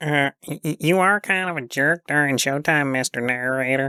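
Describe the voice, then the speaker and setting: In a put-on character voice, the speaker talks at a moderate pace with a low-to-middle pitch. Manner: hesitant, stammering.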